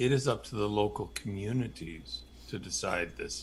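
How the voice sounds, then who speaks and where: There is vocal fry in this man's fairly low voice. He speaks at a fairly slow pace. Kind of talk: casual chat.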